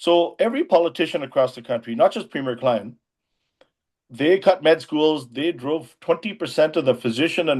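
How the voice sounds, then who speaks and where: A man's unremarkable speaking voice, fairly high in pitch with ordinary pitch variation, at a moderate pace against a quiet background. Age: 60s. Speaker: emergency physician and former politician. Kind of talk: interview.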